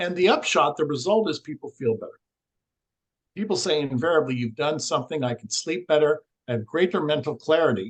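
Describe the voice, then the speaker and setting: Here a man with an unremarkable speaking voice talks fairly quickly at a fairly high pitch, with lively intonation and a dry, close sound with no echo. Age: 60s. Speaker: energy healing researcher. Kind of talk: podcast interview.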